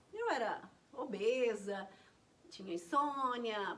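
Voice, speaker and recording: A woman talks at a very slow pace in a high-pitched voice. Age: 60s. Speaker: naturopathy teacher. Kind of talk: health talk to camera.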